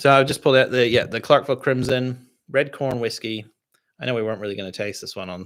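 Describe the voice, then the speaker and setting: A man with an American accent talks at a very fast pace and a medium pitch. His pitch varies in an ordinary way while his loudness swings widely. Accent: sounds American. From Canada. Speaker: distiller and podcast host. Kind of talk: live stream whisky tasting chat. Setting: live stream. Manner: casual, filler-heavy.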